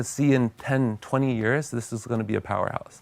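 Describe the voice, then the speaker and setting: A man with a Californian accent at a medium pitch and a fairly quick pace. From US, California. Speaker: tech company CEO. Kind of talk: TV interview.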